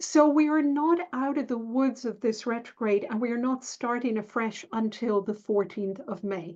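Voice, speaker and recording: A woman's ordinary speaking voice at a fairly high pitch, moderate pace and ordinary pitch variation, with hardly any pauses. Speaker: astrologer. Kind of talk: tutorial. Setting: screen share video.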